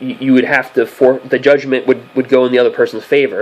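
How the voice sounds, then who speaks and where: A man's voice over noticeable background noise. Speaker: sports news commentator. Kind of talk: casual vlog commentary. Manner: fast; halting with many fillers.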